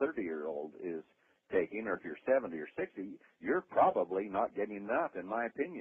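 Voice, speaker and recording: With very wide pitch swings, a man with a fairly low pitch talks at a very fast pace. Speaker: company founder presenting products. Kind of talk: sales pitch on a conference call. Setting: phone conference call. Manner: enthusiastic, with many fillers.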